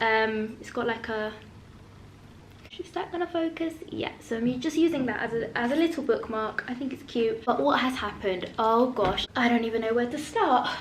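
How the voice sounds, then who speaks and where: Ordinary pitch variation amid audible room echo. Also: woman, high pitch for a woman, moderate pace. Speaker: book vlogger. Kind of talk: casual vlog. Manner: animated.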